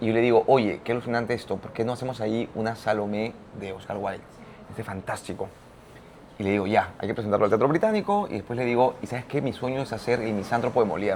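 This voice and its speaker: A man's voice sits at a medium pitch. He talks very fast. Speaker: theatre and opera director. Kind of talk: interview. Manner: animated.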